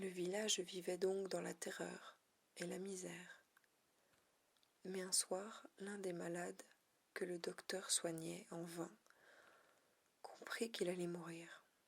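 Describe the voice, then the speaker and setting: A soft-spoken woman whispers with vocal fry. She talks at a very slow pace, with long, frequent pauses. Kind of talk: ASMR reading of a short story to relax and sleep. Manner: whispered, soft-spoken.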